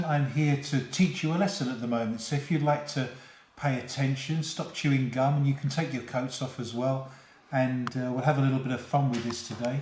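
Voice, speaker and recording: Fairly even intonation and a fairly quick pace come through in a London accent. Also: man, medium pitch for a man. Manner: playful, mock-teacher tone.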